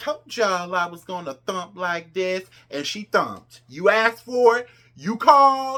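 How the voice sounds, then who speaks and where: Animated and bright with a sharp tone, a woman speaks fairly slowly with lively intonation and big swings in loudness. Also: medium pitch for a woman. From New Jersey. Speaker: pop culture commentator. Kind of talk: casual commentary vlog.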